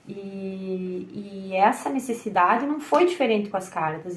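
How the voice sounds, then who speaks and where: A somewhat breathy voice at a fairly slow pace with ordinary pitch variation. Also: woman. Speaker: tarot reader and content creator. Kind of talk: personal monologue to camera. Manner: hesitant, with repetitions and fillers.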